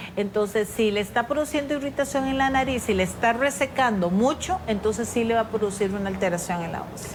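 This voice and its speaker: Amid noticeable background noise, a woman speaks with hardly any pauses and ordinary pitch variation. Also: fairly high pitch for a woman. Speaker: ENT doctor. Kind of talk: interview answering viewer questions.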